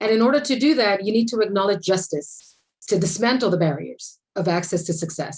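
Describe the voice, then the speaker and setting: Speaking at a fairly quick pace, a woman sounds somewhat breathy. Her intonation is lively. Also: medium pitch for a woman. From Puerto Rico. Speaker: architect and equity advocate. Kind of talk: panel discussion.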